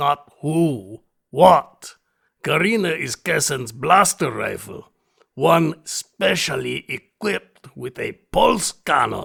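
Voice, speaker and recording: The speaker puts on a raspy character voice and talks at a very slow pace. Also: man, fairly high pitch for a man. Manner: formal, courtly.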